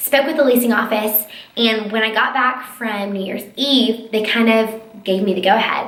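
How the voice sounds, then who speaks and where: Animated in tone, a woman speaks with an American accent at a high pitch, with audible room echo and noticeable background noise. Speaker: lifestyle blogger and YouTuber. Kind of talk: casual vlog chat. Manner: fast.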